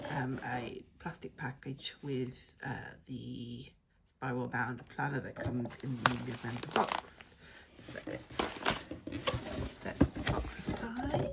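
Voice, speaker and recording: A woman with a British accent speaks at a very slow pace. Noticeable background noise runs underneath. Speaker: planner and journaling unboxing vlogger. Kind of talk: casual unboxing video. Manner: hesitant, many fillers.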